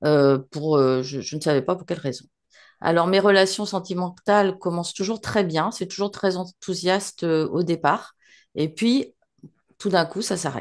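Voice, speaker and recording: Against a quiet background, a woman talks at a fairly slow pace in a fairly low pitch with ordinary pitch variation. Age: 60s. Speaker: hypnosis client. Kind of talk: personal testimony. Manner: halting, many hesitations.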